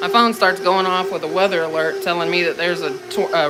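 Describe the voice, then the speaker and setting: A man with an American accent at a very fast pace, with audible room echo and noticeable background noise. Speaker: home cooking livestreamer. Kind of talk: casual livestream chat.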